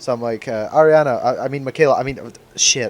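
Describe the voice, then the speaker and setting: The speaker has a Scottish accent and moves at a fairly quick pace. Pitch variation is ordinary. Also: man. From Scotland. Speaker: podcast co-host. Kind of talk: casual chat. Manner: halting, stammering.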